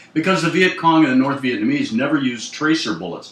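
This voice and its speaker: Noticeable background noise runs under this recording. A man speaks with very wide pitch swings. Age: 60s. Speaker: war veteran. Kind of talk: oral history interview. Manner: halting.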